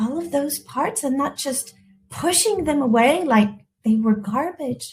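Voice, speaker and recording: A high-pitched woman's voice with a French accent. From France, partly raised in the US. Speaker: elegance coach. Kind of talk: live webinar talk. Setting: livestream with chat. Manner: halting, frequent repetitions.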